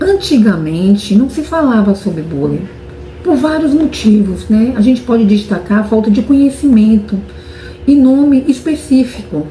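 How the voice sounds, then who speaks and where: A woman with a fairly high pitch and very wide pitch swings, moderate pace, noticeable background noise. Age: adult. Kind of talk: interview answer. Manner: halting, repeats words.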